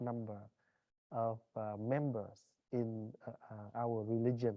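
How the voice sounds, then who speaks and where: Speaking in a monotone with flat intonation, a man uses a non-native accent. His pitch sits at a medium level. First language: Vietnamese. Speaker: Buddhist monk giving a talk. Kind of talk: dharma talk. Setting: class opening with audience. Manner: halting, many fillers.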